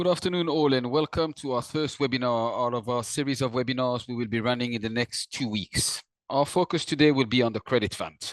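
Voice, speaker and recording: A man with a non-native accent talks at a fairly quick pace with hardly any pauses, in a dry, close sound with no echo over a quiet background. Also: medium pitch for a man, ordinary pitch variation. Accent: non-native accent, self-noted. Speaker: investment firm distribution director. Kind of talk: webinar presentation. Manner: formal.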